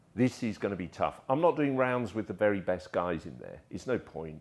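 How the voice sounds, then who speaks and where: Lively in intonation, a man with a southern English accent talks at a fairly quick pace. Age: 60s. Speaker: martial artist and photographer. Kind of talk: casual interview chat.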